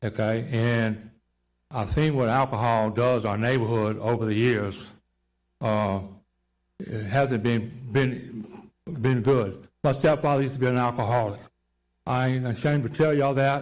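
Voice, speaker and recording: A man with a Louisiana accent talks at a medium pitch with ordinary pitch variation. His pace is fairly slow, with long, frequent pauses, and there is audible room echo. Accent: Southern US, Louisiana. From Louisiana, Baton Rouge. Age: 60s. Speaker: neighborhood resident opposing rezoning. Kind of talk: public comment at zoning hearing. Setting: council chambers.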